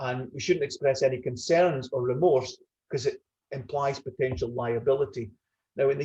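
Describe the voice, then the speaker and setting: With a Scottish accent, the speaker talks at a fairly quick pace in a somewhat breathy voice with a dark, mellow tone. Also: man. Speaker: retired business executive. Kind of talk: webinar panel discussion.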